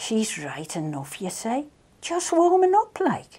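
Her high pitch moves in very wide swings, with a slightly husky edge. The woman speaks at a slow pace with a Manx accent. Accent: Manx, rural Maughold.

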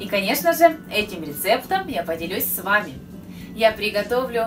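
Speaking at a moderate pace, a woman is heard over clear music in the background. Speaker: cooking channel host. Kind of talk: casual vlog chat. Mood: cheerful, friendly. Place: kitchen.

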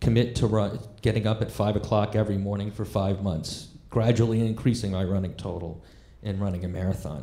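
Audible room echo surrounds a man whose somewhat breathy voice has a dark, mellow tone and a fairly low pitch. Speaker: stand-up comedian. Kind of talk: stand-up storytelling. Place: stage. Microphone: handheld.

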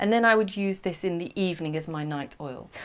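A woman talks at a fairly quick pace with a fairly low pitch and ordinary pitch variation.

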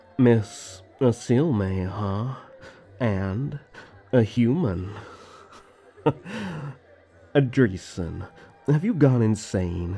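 A put-on character voice from a man at medium pitch, dark and mellow with a slightly husky edge and vocal fry, very slow with long, frequent pauses and lively intonation, faint music in the background

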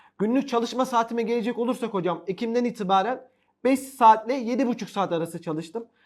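In a very clean recording with a silent background, a man speaks fairly quickly at extremely high pitch with ordinary pitch variation. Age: 20s. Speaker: top-ranking exam candidate, new English teacher graduate. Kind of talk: interview. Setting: studio.

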